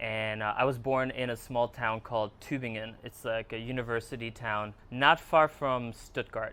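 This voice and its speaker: A man's bright, sharp voice at medium pitch, fairly even in intonation, at a moderate pace with hardly any pauses. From Germany and New York area. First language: Hungarian. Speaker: filmmaker and photographer. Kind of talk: podcast interview. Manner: halting, many fillers.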